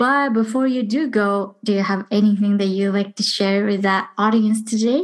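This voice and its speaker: A woman with an unremarkable speaking voice talks at a moderate pace with hardly any pauses, against a quiet background. Her pitch is fairly high, with ordinary variation. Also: very even loudness. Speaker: podcast host. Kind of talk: casual interview.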